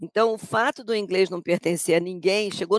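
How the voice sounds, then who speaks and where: In a normal speaking voice, a woman talks at a moderate pace and medium pitch with ordinary pitch variation, in a dry, close sound with no echo. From Rio de Janeiro, Brazil. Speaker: English language professor. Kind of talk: interview.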